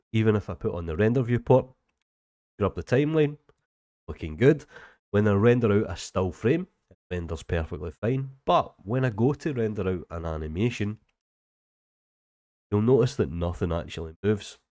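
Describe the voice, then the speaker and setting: Lively intonation and a dark, mellow tone in a Scottish accent, at a moderate pace with long, frequent pauses, in a dry, close sound with no echo against a quiet background. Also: man, fairly low pitch for a man. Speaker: 3D software tutor. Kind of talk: tutorial. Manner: casual.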